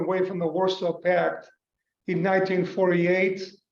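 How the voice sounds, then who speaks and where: A man speaks in a high pitch at a moderate pace. Audible room echo surrounds the voice. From North Macedonia, Skopje. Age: 60s. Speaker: business executive. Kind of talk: interview. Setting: video call.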